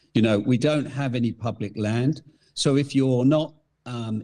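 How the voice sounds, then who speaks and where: With an English accent, a man of medium pitch talks at a moderate pace in a dark, mellow tone with ordinary pitch variation. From England. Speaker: hunting gear company founder. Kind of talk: podcast interview.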